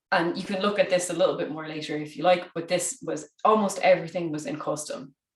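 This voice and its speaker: A woman's medium-pitched voice at a very fast pace in an Irish accent. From Ireland. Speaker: conference speaker. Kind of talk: conference talk.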